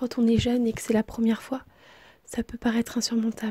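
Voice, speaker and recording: A soft-spoken woman's whisper. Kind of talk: ASMR whispered relationship advice. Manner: whispered, soft-spoken.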